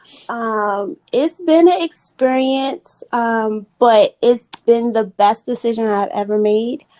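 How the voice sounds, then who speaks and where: A woman with a Maryland accent speaks at a fairly high pitch and a very slow pace, with hardly any pauses and ordinary pitch variation. Her tone is dark and mellow, and the sound is dry and close with no echo. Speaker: podcast guest. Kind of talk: casual chat.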